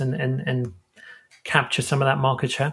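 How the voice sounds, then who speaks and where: His voice sits at a medium pitch. The man sounds somewhat breathy. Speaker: podcast host. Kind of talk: podcast interview.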